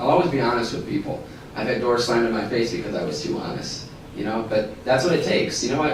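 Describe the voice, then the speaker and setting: Spoken in an American accent with ordinary pitch variation, the clip carries noticeable background noise and audible room echo. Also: man. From northern Michigan. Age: 20s. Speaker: state house candidate. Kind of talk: political candidate forum statement. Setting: public forum at a college.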